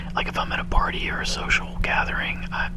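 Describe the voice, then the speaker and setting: Noticeable background noise fills the clip. Through it, a man whispers. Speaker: ASMR video creator. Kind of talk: casual talk to camera. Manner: whispered, soft-spoken.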